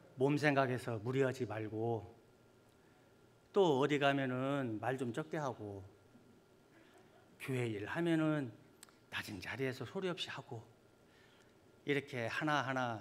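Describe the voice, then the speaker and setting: A man of medium pitch talks very slowly with long, frequent pauses and ordinary pitch variation, audible room echo around him. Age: 50s. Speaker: church elder. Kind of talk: sermon. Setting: church.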